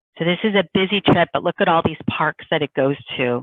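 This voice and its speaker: A woman speaks with a Northeastern US accent and a fairly low pitch. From US Northeast. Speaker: tour company representative. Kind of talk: sales presentation. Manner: casual, conversational.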